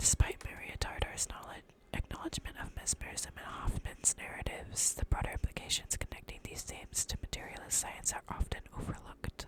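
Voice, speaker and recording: Someone whispers at a fairly quick pace with hardly any pauses amid noticeable background noise. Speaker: ASMR creator. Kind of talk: reading aloud. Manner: whispering; halting.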